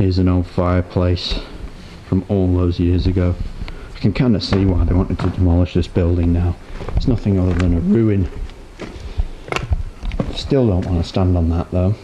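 A man with a very deep, low pitch speaks at a moderate pace with very even loudness and fairly even intonation, leaving long, frequent pauses over noticeable background noise. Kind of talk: casual vlog narration. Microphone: phone near.

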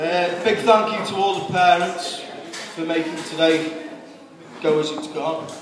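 A high-pitched man speaking fairly slowly with fairly even intonation and long, frequent pauses, amid audible room echo and noticeable background noise. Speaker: best man. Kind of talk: best man wedding speech. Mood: warm, humorous. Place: hall. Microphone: camera far.

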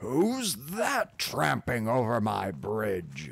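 A put-on character voice bellows at a very slow pace. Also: man, medium pitch for a man. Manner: roaring.

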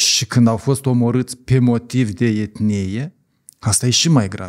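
Over a quiet background, a man speaks at a fairly slow pace. His pitch variation is ordinary. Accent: strong Moldovan. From Moldova. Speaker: journalist and civic activist; podcast guest, journalist. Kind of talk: podcast interview. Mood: serious. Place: studio. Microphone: studio mic.

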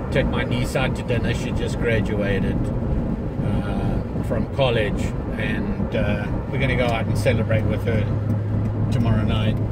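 A man's fairly slow speech, dry with no echo, over loud background noise. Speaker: vlogger driving. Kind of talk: casual vlog chat. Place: car. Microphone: phone near.

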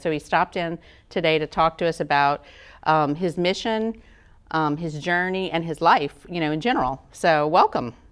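A moderate pace and ordinary pitch variation over a quiet background. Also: woman. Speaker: interviewer. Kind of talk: interview question. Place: studio. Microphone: lapel.

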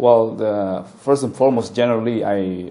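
The voice moves through ordinary pitch variation over light background noise. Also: man. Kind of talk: interview answer. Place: office. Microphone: lapel.

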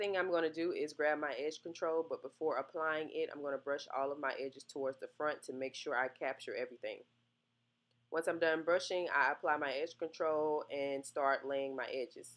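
A woman speaks at a moderate pace in a very deep, low voice, her intonation fairly even. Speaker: hair tutorial creator. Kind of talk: casual tutorial talk to camera.

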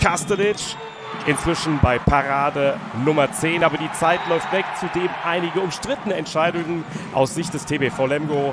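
Over noticeable background noise, a man with a fairly high voice talks at a moderate pace with fairly even intonation. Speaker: sports commentator. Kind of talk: handball highlights commentary. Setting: studio voice-over. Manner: fluent, measured, matter-of-fact sports-reporter delivery.

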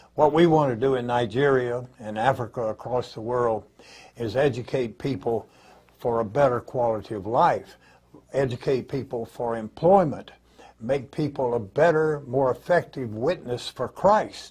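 Over a quiet background, a somewhat breathy voice speaks with ordinary pitch variation. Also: man, moderate pace. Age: 80s+. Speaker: ministry partner in education. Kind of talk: talk on ministry vision. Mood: earnest, persuasive. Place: meeting room.

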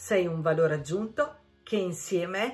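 Over faint background music, a woman speaks fairly slowly at a medium pitch. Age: 50s. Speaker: beauty consultant. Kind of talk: casual talk to camera. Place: home room. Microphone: phone near.

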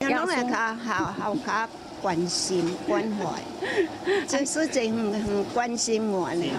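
Over loud background noise, a woman with a fairly high pitch speaks at a very slow pace with very wide pitch swings. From Taiwan. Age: 70s. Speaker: volunteer kitchen helper. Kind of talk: interview answer. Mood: cheerful, grateful.

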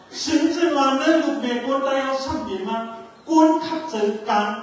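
There is strong room echo on this recording. A man talks at a high pitch. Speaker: speaker. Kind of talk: formal speech. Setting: stage with audience. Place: stage.

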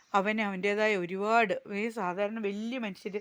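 Monotone, flat intonation carries a woman's medium-pitched voice. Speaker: village life vlogger. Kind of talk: casual vlog narration.

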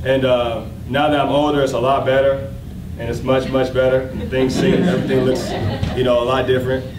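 At a fairly quick pace, a man with an American accent speaks over noticeable background noise. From Oklahoma, US. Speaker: fashion designer and brand founder. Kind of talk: speech at launch party. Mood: grateful, upbeat. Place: hall. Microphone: podium.

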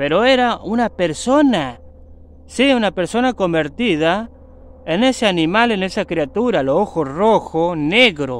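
In an Argentine accent, a man speaks in a dramatic tone at a fairly slow pace, his high pitch making very wide swings, in a dry sound with no echo. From Argentina. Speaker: YouTuber and mechanic. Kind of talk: ghost story telling, spooky legend told to camera. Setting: outdoors in the woods. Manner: dramatic, hushed suspense with sound effects, repeating 'amigos'; slow, repetitive, conversational. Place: forest. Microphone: phone near.

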